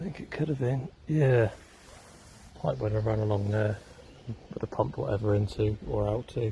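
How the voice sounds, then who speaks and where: Quiet and somewhat breathy, a man speaks at a moderate pace with a dark, mellow tone and fairly low pitch. His intonation is lively, broken by long, frequent pauses. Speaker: urban explorer vlogger. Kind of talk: walking vlog narration. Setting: outdoors.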